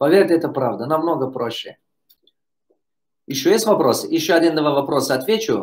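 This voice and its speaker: A man talks at a moderate pace. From Tajikistan. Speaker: business coach. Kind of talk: live Q&A.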